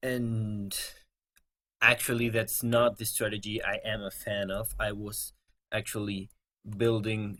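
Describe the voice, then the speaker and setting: A man speaks very slowly with a non-native accent. His intonation is monotone and flat. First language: not English. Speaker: gaming video creator. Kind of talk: gameplay commentary.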